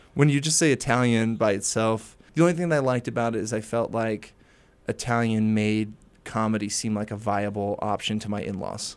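Moving at a fairly quick pace with ordinary pitch variation, a plain, everyday voice speaks with an American accent on a very clean recording against a silent background. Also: man, medium pitch for a man. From Maryland. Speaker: stand-up comedian. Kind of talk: casual interview.

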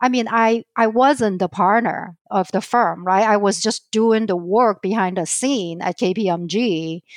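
A fairly slow voice with a Chinese accent and ordinary pitch variation, dry and close with no echo, in a very clean recording with a silent background. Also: woman. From southern China. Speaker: financial advisor. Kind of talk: interview.

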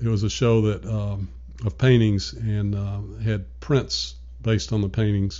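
This man has a fairly low pitch and an American accent, and his voice is somewhat breathy. He moves at a moderate pace with lively intonation. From US South, Nashville, Tennessee. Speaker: retired arts fundraiser. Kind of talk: casual interview.

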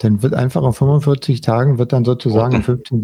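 A man's somewhat breathy, medium-pitched voice with a dark, mellow tone, lively intonation and a moderate pace, in a dry, close sound with no echo. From West Berlin. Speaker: podcast host. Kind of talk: casual chat. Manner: hesitant, many fillers.

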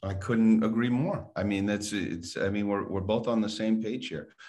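Over a quiet background, a man speaks at a moderate pace. His pitch is fairly low, with ordinary variation. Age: 60s. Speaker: podcast host and financial coach. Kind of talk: casual interview chat.

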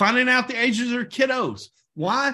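A man speaks in a raised, projected voice with an extremely high pitch and a bright, sharp tone. His pitch varies normally at a moderate pace against a quiet background. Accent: American. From Oklahoma. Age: 40s. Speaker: network marketing team leader. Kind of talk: sales team training call. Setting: conference call.

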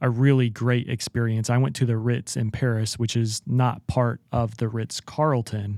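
In an ordinary speaking voice, a man talks at a medium pitch and a fairly slow pace, the sound dry and close with no echo. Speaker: podcast host. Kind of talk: interview conversation.

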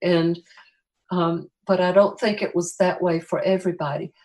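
In an American accent, a woman uses an ordinary speaking voice at medium pitch with fairly even intonation. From US South, Greenville, South Carolina. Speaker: graphic designer and children's book author. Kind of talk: interview conversation.

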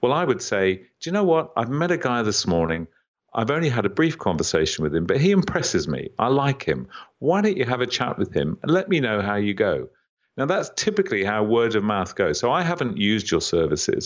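Speaking at a fairly quick pace, a man with vocal fry swings his pitch very widely. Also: medium pitch for a man. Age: 60s. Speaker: business author and entrepreneur. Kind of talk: interview.

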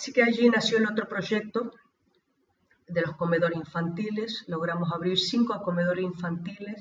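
At a moderate pace, a woman with an unremarkable speaking voice talks at medium pitch with ordinary pitch variation. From Argentina, Río Gallegos, Santa Cruz province. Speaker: missionary, orphanage founder. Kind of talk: interview testimony.

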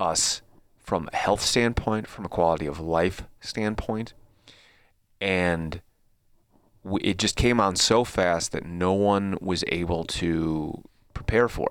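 A man's very deep, low voice at a very slow pace, with long, frequent pauses, ordinary pitch variation and a very clean recording over a silent background. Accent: Chicago-area. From Chicago suburbs, US Midwest. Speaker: podcast host. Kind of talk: casual chat.

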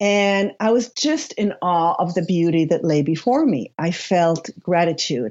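A woman speaks with a slight Israeli accent. Her intonation is lively and her pace fairly slow. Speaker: spiritual author and coach. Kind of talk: interview. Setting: remote call.

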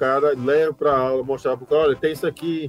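A man's fairly high voice at a fairly quick pace, with ordinary pitch variation, a dry, close sound with no echo and music in the background. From Paraíba, Brazil (João Pessoa). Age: 40s. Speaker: university music professor and trombonist. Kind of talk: casual interview.

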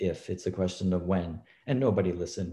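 A man's very deep, low-pitched voice, dark and mellow, somewhat breathy. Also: very clean recording, silent background. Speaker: professor of pharmacology. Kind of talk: panel discussion.

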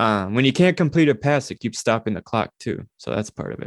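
With an unremarkable speaking voice, a man with an American accent speaks at a moderate pace with lively intonation, in a dry, close, very clean recording with a silent background and no echo. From Minnesota. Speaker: sports podcast co-host. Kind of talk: casual chat.

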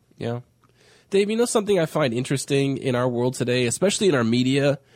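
A man with a normal speaking voice, pitched fairly high. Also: very clean recording, silent background. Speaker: radio host. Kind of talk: casual radio chat.

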